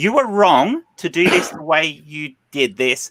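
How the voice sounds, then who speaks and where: In a dry, close sound with no echo, a man with an Australian accent projects a raised, high-pitched voice with a bright, sharp tone. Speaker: panel show host. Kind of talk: heated panel discussion. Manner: animated.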